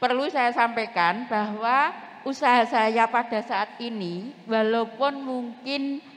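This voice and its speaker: Noticeable background noise surrounds the recording. A woman speaks at a fairly high pitch and a very slow pace. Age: 70s. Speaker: retired teacher, small craft business owner. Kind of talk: self-introduction at a community forum. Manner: formal.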